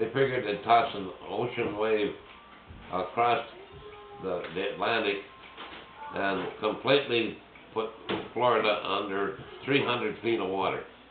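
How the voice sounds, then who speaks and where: Music sits in the background as a man speaks at a fairly slow pace. His intonation stays fairly even, broken by long, frequent pauses. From Switzerland. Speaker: war veteran. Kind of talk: casual conversation. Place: home room. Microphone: phone near.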